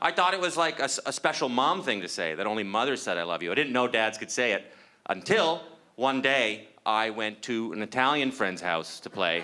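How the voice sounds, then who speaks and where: A man with vocal fry talks at a fairly quick pace, his pitch swinging very widely. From Canada. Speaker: stand-up comedian. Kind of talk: stand-up. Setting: stage with audience. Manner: halting, many fillers.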